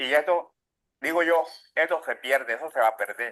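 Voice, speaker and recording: A man's high-pitched voice at a fairly slow pace. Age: 60s. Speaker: cassava bread maker. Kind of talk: documentary interview testimony. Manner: halting.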